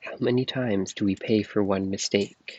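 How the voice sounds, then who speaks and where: The voice is soft-spoken and moves at a moderate pace. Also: man. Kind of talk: ASMR book reading. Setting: outdoors, recorded on earbuds.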